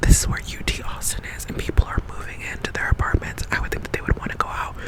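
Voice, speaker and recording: Someone whispers at a fairly quick pace over noticeable background noise. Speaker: ASMR creator. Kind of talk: casual ASMR ramble. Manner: whispered.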